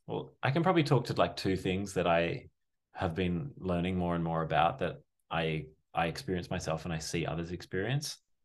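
A man with an Australian accent, very deep and low in pitch, lively in intonation, at a fairly quick pace against a quiet background. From Sydney, Australia. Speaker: breathwork facilitator. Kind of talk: casual chat.

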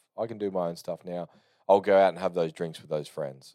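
A man's very deep, low voice in an Australian accent, dry and close with no echo, on a very clean recording with a silent background. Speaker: podcast host. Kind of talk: casual solo monologue. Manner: unscripted, rambling with fillers.

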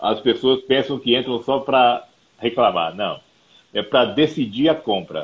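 This man has an unremarkable speaking voice with a medium pitch. He speaks at a fairly slow pace with ordinary pitch variation. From Brazil, Mato Grosso do Sul (Campo Grande). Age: 50s. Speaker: company founder and CEO. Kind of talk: interview.

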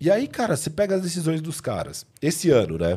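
A man speaks in a fairly high pitch with a dark, mellow tone and a somewhat breathy quality, on a very clean recording with a silent background. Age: 30s. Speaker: basketball podcast co-host. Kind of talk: casual sports debate. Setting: live stream.

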